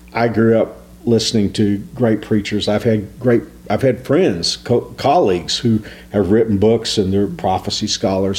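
A man at a medium pitch, speaking at a fairly slow pace over noticeable background noise. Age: 60s. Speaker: pastor. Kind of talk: devotional talk.

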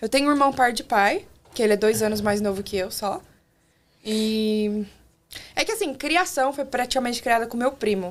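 With long, frequent pauses, a woman speaks at a moderate pace and fairly high pitch, with ordinary pitch variation. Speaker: former au pair. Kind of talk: casual chat. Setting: studio.

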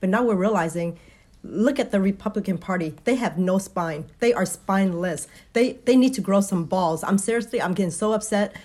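The delivery is fairly quick. There is a somewhat breathy quality to the voice. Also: woman. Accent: American. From Vietnam, later Texas. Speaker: guest, rally attendee. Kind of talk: casual interview.

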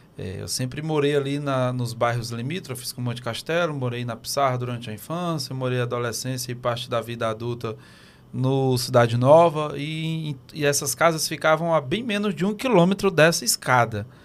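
On a very clean recording with a silent background, a man in a normal speaking voice talks at a moderate pace and medium pitch with ordinary pitch variation and hardly any pauses. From Teresina, Piauí, Brazil. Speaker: podcast co-host. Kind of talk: casual chat. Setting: studio.

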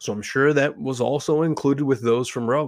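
A man with medium pitch speaks in an animated tone. The sound is dry and close with no echo, on a very clean recording with a silent background. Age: 30s. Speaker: podcast host and fitness coach. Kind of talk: solo commentary monologue.

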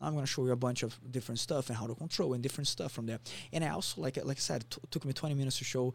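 A man with a Portuguese accent talks at a very fast pace. His voice is somewhat breathy, with ordinary pitch variation. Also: medium pitch for a man. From Brazil, Rio de Janeiro. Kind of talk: casual interview.

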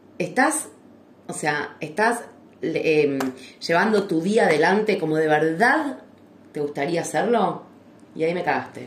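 Over noticeable background noise and audible room echo, a woman speaks at a very slow pace and a fairly low pitch, her intonation lively and her pauses long and frequent. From Argentina. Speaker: podcast co-host. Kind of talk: casual chat. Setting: live stream recording.

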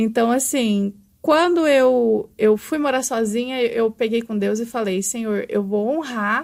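In an unremarkable speaking voice, a woman with a fairly high pitch and ordinary pitch variation speaks fairly slowly on a very clean recording with a silent background. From Brazil, São Paulo, later Araguari from age 14. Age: 20s. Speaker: makeup artist and brow specialist. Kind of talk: life story interview. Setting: studio.

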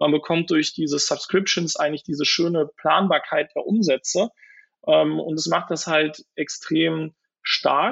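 This man's voice sits high. It moves up and down with ordinary variation. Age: 30s. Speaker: venture capital investor. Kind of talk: interview. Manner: hesitant, many filler sounds.

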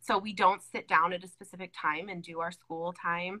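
A woman's fairly low voice in an American accent, bright and sharp in tone, at a moderate pace with fairly even intonation. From California. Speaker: unschooling parent. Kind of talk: casual chat. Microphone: audio cutting out.

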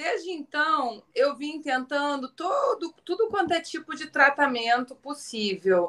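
Very slow, bright and sharp speech in a southern Brazilian accent, with very wide pitch swings. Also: woman. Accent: gaúcho accent, noticeable. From Rio Grande do Sul, southern Brazil. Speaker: businesswoman and surfer. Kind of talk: casual chat.

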